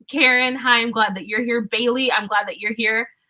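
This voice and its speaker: The voice is shrill. Its pitch variation is ordinary. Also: woman. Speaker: tarot reader. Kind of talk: live stream chat.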